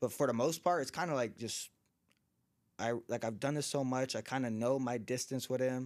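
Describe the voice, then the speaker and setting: A man with an American accent speaks in an unremarkable speaking voice at medium pitch and a moderate pace. His intonation stays fairly even on a very clean recording with a silent background. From Southern California (Orange County area). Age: 20s. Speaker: professional boxer. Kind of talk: casual interview chat.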